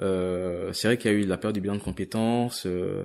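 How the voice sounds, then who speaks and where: This is a man with a fairly low pitch. His pitch varies in an ordinary way. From grew up partly abroad, in France from age 8. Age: 20s. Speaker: corporate employee leaving job to travel. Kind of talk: interview testimony. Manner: halting, many repetitions and fillers.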